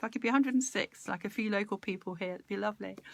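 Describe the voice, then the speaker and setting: In a very clean recording with a silent background, a woman with a fairly high pitch speaks in a warm, animated tone. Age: 60s. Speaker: live-stream speaker on personal growth. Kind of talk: casual live-stream talk with viewer interaction. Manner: chatty, warm and animated.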